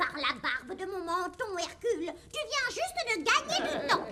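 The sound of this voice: Using a cartoonish character voice, a woman reaches an extremely high pitch with very wide pitch swings. She keeps a moderate pace.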